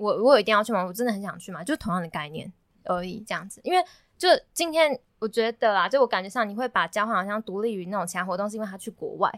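A woman at medium pitch talks at a very fast pace. The sound is dry and close with no echo, on a very clean recording with a silent background. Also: big swings in loudness. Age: 20s. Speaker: university student. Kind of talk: casual chat.

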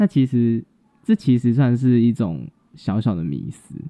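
In a plain, everyday voice, a man talks at medium pitch and a moderate pace. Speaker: podcast co-host, cosmetics student. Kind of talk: casual educational chat.

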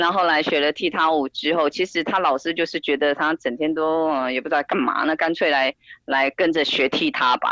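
A bright, sharp voice moves at a fairly quick pace with hardly any pauses, fairly even intonation, and very even loudness. The sound is dry and close with no echo. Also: woman, very deep, low pitch for a woman. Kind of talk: interview. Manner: hesitant, many fillers.

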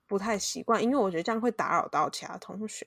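Fairly high in pitch, a woman speaks in a normal speaking voice at a fairly quick pace with lively intonation. The recording is very clean, with a silent background. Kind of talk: casual chat; scripted outro.

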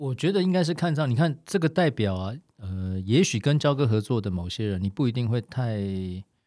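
A man's medium-pitched voice with a dark, mellow tone, very wide pitch swings and hardly any pauses at a moderate pace, on a very clean recording with a silent background. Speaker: former artist manager, now insurance agent. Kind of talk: casual chat.

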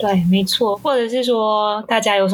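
Speaking at a moderate pace, a woman has a medium pitch. Her voice sounds somewhat breathy. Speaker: podcast co-host. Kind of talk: casual chat.

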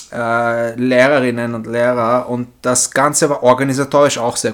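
A man speaks at a medium pitch in a monotone, flat intonation. His pace is fairly slow. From Vienna, Austria (born in Istanbul). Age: 30s. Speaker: former exchange student. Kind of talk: interview.

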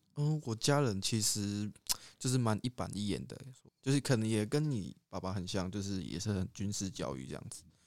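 A man with an ordinary speaking voice talks at a moderate pace, his fairly low pitch carrying lively intonation. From Taiwan, Pingtung. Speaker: podcast co-host, university student. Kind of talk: casual chat.

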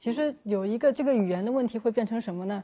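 Fairly quick speech comes in a dark, mellow tone. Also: woman. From Shanghai. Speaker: journalist. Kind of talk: casual chat.

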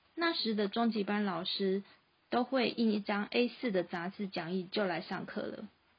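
A woman speaks in a Taiwanese accent at a fairly slow pace. Her voice is somewhat breathy, with ordinary pitch variation. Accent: Taiwanese Mandarin. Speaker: freelance graphic designer and podcast host. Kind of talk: scripted narration.

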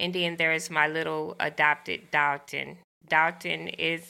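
Speaking with a Southern US accent, a woman uses a fairly low pitch, vocal fry and a bright, sharp tone. She talks at a fairly slow pace on a very clean recording with a silent background. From US South, rural Arkansas. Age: 50s. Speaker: teacher and brain surgery survivor. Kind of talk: interview, personal testimony.

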